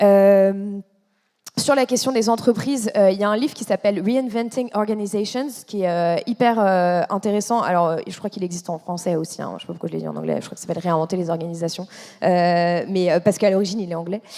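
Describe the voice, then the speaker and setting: A woman with a dark, mellow tone talks at a medium pitch and a fairly quick pace. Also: ordinary pitch variation. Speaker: environmental journalist. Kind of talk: panel discussion. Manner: fast; hesitant, many fillers.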